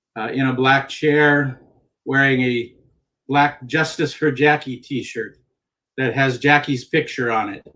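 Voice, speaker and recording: Pausing long and often, a man talks fairly slowly in a bright, sharp tone at a fairly high pitch, his intonation monotone and flat. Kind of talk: panel discussion. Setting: video call from office. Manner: halting, repeats words.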